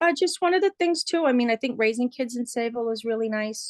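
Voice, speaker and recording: A woman talks with a New York accent and ordinary pitch variation. The sound is dry and close with no echo, over a quiet background. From New York City, Queens. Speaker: interviewee, resident. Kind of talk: interview. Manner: hesitant, many fillers.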